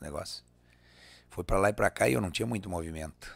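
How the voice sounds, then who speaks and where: Dry and without echo, the recording captures a man talking at a very fast pace. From Rio Grande do Sul, Brazil. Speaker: singer and accordionist; guest. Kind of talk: casual interview. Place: studio. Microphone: studio mic.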